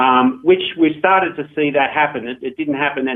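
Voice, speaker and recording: The speaker is a man with an Australian accent. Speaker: gaming company founder. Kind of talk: radio interview. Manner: many fillers (um, uh).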